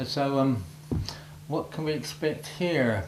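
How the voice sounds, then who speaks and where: At a very slow pace, a man with a fairly high voice speaks over noticeable background noise, with audible room echo. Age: 80s+. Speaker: war veteran. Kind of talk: talk to schoolchildren.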